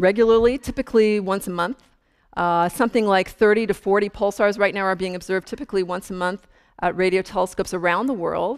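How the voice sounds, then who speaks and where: A woman speaks at a fairly quick pace with fairly even intonation. Her background is quiet. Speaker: astrophysicist giving public lecture. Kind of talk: lecture. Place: hall. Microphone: lapel.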